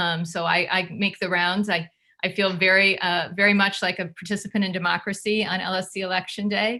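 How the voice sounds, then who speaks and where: A woman speaks at a fairly quick pace with a medium pitch and a bright, sharp tone. Her intonation is monotone and flat. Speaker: education advocacy group board member. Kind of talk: presentation at online community meeting. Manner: fast.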